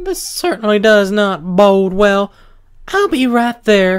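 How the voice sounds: A man's put-on character voice, high-pitched and fairly slow, in a Southern accent.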